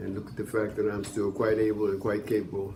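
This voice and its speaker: A man speaks in a dark, mellow tone that is somewhat breathy. Audible room echo surrounds the voice. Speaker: former boxer, senior program participant. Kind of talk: testimony.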